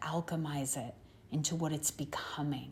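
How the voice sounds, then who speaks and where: Her voice is dark and mellow, somewhat breathy, and calm in tone. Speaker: spiritual channeler. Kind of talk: channeled spiritual message. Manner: slow.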